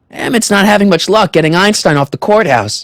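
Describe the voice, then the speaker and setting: In a dry, close recording with no echo, a man uses a put-on character voice, pitched high, at a fairly quick pace with very even loudness and ordinary pitch variation. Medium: video game. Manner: casual, friendly.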